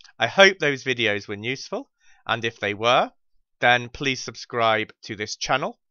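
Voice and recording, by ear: A man speaks at medium pitch with lively intonation and a bright, sharp tone. The sound is dry and close, with no echo. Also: fairly slow pace.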